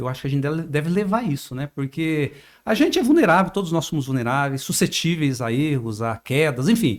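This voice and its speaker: In a very clean recording with a silent background, a man talks at a fairly quick pace with a fairly high pitch and lively intonation. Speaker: journalist podcast host. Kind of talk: interview. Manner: informal.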